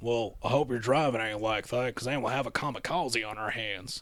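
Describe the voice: This is a gruff, put-on character voice with ordinary pitch variation. The pace is fairly quick. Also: man, medium pitch for a man.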